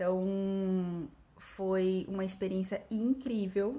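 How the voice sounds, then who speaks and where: Somewhat breathy and medium in pitch, a woman speaks in a dark, mellow tone with fairly even intonation. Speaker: English teacher. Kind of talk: vlog monologue. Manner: hesitant with fillers.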